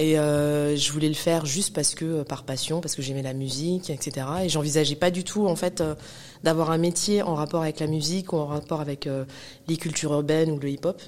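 Fairly quick and fairly even in intonation, a woman speaks at a very deep, low pitch. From Paris suburbs, Val-de-Marne (94). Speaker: hip-hop cultural manager and entrepreneur. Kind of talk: interview conversation. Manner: hesitant, many fillers and repetitions.

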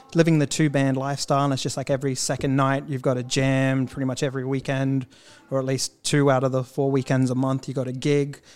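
Speaking very fast with an Australian accent, a man at medium pitch keeps a monotone, flat intonation. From Australia, Queensland (Cairns). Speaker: musician. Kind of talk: casual chat.

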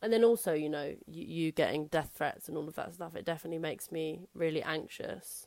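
A woman with a London accent talks at a fairly quick pace with hardly any pauses, using a fairly low pitch and ordinary pitch variation. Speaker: stand-up comedian. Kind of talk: casual chat. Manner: loud.

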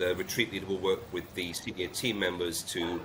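A man with a British accent talks in a very deep, low pitch. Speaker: retreat CEO. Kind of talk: interview. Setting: Jamaica, remote call.

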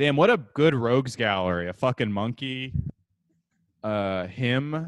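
A man speaks at a fairly slow pace with lively intonation and long, frequent pauses. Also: medium pitch for a man. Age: 20s. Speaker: podcast co-host. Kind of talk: casual chat.

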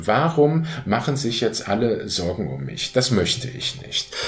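A man is speaking. His pace is very slow. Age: 50s. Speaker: patient with rheumatism. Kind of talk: personal testimony. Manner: hesitant with frequent fillers.

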